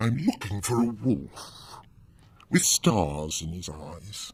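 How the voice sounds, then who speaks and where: A man speaks in a put-on character voice, fairly low-pitched, at a very slow pace. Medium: audio drama. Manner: smooth, friendly on the surface.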